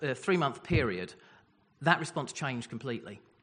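Against a quiet background, a man with a southern English accent talks in a bright, sharp tone with lively intonation. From Essex, England. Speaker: newly ordained minister. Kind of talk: personal testimony. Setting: church service.

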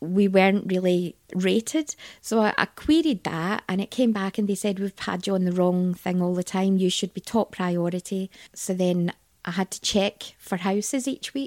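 With a Scottish accent, a woman speaks at a medium pitch with ordinary pitch variation, in a dry, close sound with no echo on a very clean recording with a silent background. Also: moderate pace. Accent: Scottish, Glaswegian-leaning. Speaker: interview guest. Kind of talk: casual interview chat.

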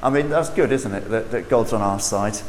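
There is noticeable background noise and audible room echo as a man talks in a southern English accent. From southern England. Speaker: preacher. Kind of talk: sermon. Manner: animated.

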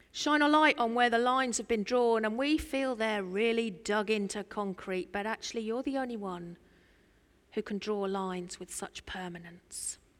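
A fairly high-pitched woman's voice in an East Anglian accent, with ordinary pitch variation and a moderate pace, on a very clean recording with a silent background. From Norfolk, England. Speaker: preacher. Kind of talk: sermon. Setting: church. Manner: animated.

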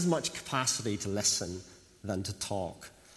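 Audible room echo surrounds a man who speaks with lively intonation at a moderate pace. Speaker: preacher. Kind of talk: sermon.

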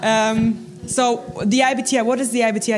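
A German accent amid noticeable background noise and audible room echo. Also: woman. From Germany. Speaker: Bible college staff. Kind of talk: church talk. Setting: church.

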